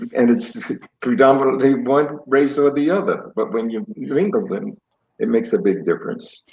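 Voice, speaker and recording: A man with an American accent, fairly high pitch, very wide pitch swings and a moderate pace. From Brooklyn, New York. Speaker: guest, host's father. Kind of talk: family interview conversation.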